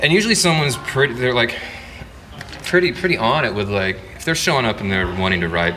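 Amid noticeable background noise, a man with an American accent talks at a very fast pace, his medium pitch making very wide swings. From Texas. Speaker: songwriter and electric guitarist. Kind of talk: casual interview chat. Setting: pub.

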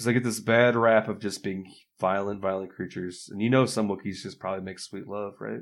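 Fairly quick and with fairly even intonation, a man with an American accent talks in a plain, everyday voice. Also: very clean recording, silent background. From Michigan. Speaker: improv comedian. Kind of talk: casual chat.

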